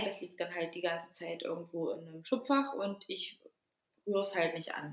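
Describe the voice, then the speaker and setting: A woman talks at a moderate pace and medium pitch in a normal speaking voice. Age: 20s. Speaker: podcast co-host. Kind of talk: casual chat.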